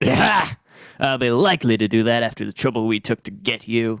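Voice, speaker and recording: A man does a put-on character voice at medium pitch and a fairly quick pace. The sound is dry and close, with no echo. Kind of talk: 1930s radio acting. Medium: old radio play. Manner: gruff, sneering.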